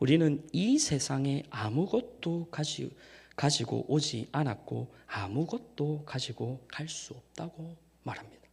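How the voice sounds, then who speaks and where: In a very clean recording with a silent background, a man with a fairly high, somewhat breathy voice speaks at a very slow pace with lively intonation and big swings in loudness. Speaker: evangelist preacher. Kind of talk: sermon. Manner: formal.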